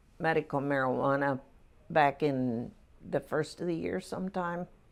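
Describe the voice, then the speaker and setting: A woman speaks at a fairly slow pace in a very deep, low voice with lively intonation, on a very clean recording with a silent background. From central Pennsylvania. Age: 70s. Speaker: retired nurse. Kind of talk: interview answer.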